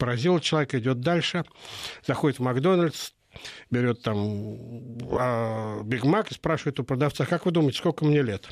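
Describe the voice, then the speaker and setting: Recorded dry and close with no echo, a man speaks at a medium pitch and moderate pace with lively intonation. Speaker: political analyst. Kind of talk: radio interview. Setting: studio.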